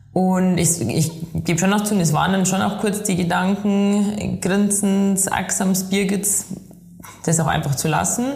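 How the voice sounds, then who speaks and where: A woman with a Bavarian accent and medium pitch speaks at a fairly slow pace with fairly even intonation and very even loudness. There is audible room echo. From Bavaria, Chiemgau (Inzell). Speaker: professional trail runner. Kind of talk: interview.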